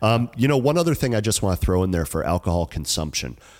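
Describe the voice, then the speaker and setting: His pitch swings very widely as this man speaks. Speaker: wedding photographer. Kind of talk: casual chat. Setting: studio. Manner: quiet.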